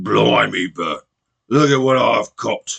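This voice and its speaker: A man puts on a character voice with a strong cockney accent as part of the act. It sounds raspy and moves at a fairly slow pace. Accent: rough cockney. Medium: read story.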